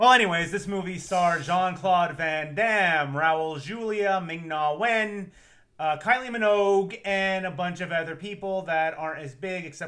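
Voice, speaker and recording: A man speaks at a high pitch with a bright, sharp tone. His pace is fairly slow, and his pitch varies in an ordinary way. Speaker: podcast host. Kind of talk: casual chat.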